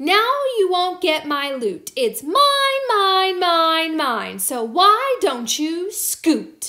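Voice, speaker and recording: In a put-on character voice, a woman projects an extremely high-pitched voice very slowly, with hardly any pauses and very wide pitch swings. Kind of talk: bedtime story. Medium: read story. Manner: angry, possessive, huffy.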